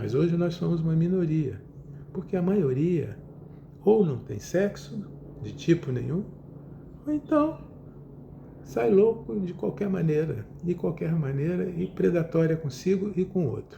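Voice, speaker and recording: Amid audible room echo, a man speaks at a fairly slow pace with long, frequent pauses, his fairly high pitch showing ordinary variation. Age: 70s. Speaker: psychotherapist. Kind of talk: lecture. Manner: halting.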